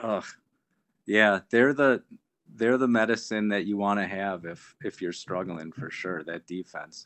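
With an American accent and a plain, everyday voice, a man talks at a fairly slow pace, his fairly low pitch showing ordinary variation and his loudness swinging widely. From Milwaukee, Wisconsin. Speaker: guest, Packers fan friend of host. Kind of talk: casual chat.

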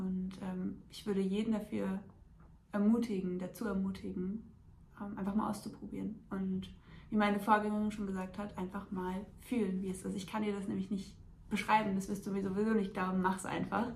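With audible room echo, a woman talks in a medium pitch with monotone, flat intonation. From Hesse, near Frankfurt. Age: 20s. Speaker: coaching client and student. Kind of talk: testimony.

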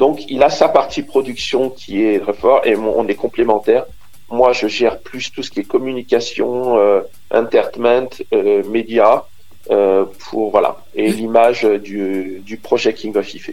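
A man talks at a very slow pace with music in the background. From Côte d'Ivoire. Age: 50s. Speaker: DJ and music producer. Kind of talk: radio interview. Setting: phone call. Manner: hesitant, many fillers.

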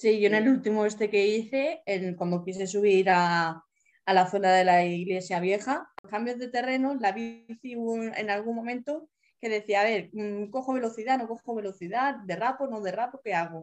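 A woman speaks in a plain, everyday voice. Her pitch is fairly high, with ordinary pitch variation. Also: moderate pace. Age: 30s. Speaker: accessible travel advisor and wheelchair user. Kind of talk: interview.

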